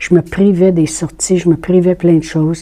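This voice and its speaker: In a Quebec accent, a woman speaks at a moderate pace and fairly low pitch with monotone, flat intonation. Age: 60s. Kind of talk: testimony. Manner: casual, conversational with hesitations.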